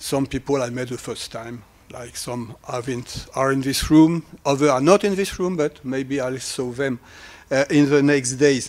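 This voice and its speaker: Speaking with a French accent, a man at medium pitch keeps a moderate pace and fairly even intonation. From France. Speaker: academic researcher. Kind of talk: lecture. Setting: conference hall with audience. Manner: halting.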